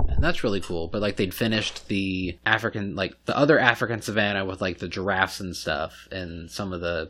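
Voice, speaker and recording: Over noticeable background noise, a man talks fairly quickly at a fairly low pitch. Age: 30s. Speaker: podcast host. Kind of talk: casual chat. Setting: recording at a friend's home.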